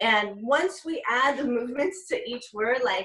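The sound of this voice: Speaking at a fairly slow pace, a woman has a fairly high pitch, a fairly bright tone, a slightly husky edge and lively intonation.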